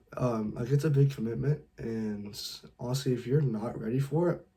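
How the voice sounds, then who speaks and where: A man with an American accent, medium in pitch, somewhat breathy, with ordinary pitch variation. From California. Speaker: dating advice youtuber. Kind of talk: tutorial. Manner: casual, lots of filler words.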